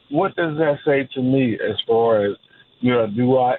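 A man talks at a fairly slow pace. His pitch sits in the medium range and varies in an ordinary way. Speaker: caller. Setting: phone call. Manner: halting, filler words.

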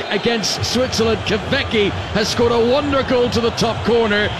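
A man's extremely high-pitched voice at a moderate pace, ordinary pitch variation, and noticeable background noise. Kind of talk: live radio score update, reports from another match. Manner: brisk and crisp, clearly and urgently delivered.

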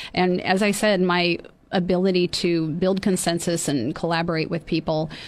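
With fairly even intonation, a woman with an American accent talks in a plain, everyday voice at a fairly low pitch. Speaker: mayor and county supervisor candidate. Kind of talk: radio interview. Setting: studio.

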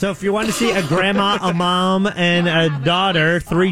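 This man's voice sits at a high pitch, with fairly even intonation. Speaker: radio co-host. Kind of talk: casual banter.

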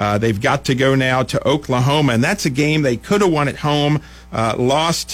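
Music plays in the background as a man talks at a medium pitch with ordinary pitch variation. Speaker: TV sports anchor. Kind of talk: casual radio banter.

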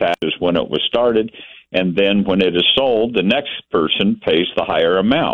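With an American accent, a man talks in an ordinary speaking voice, fairly low in pitch, at a moderate pace. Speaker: caller. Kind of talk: casual chat. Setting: phone call.

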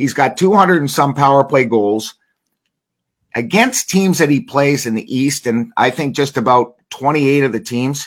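In a normal speaking voice, a man talks at a fairly high pitch and a moderate pace. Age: 60s. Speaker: hockey broadcaster and former player. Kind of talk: casual interview.

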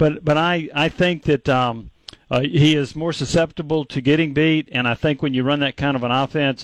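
A man's normal speaking voice, fairly high in pitch, moderate in pace, with fairly even intonation. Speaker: sports radio co-host. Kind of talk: radio sports talk.

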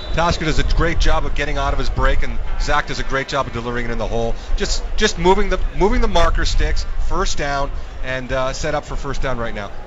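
Music plays behind a man's voice. He talks at a very fast pace. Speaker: former football player turned radio analyst. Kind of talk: live color commentary, analyzing plays as a former player. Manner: animated, wordy, stacking verbs (analyzing, overanalyzing, scrutinizing).

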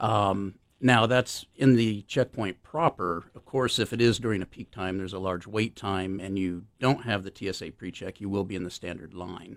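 A man with an ordinary speaking voice talks at a moderate pace, with fairly low pitch and ordinary pitch variation. He leaves hardly any pauses, and his loudness swings widely. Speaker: airport security official. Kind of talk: radio interview.

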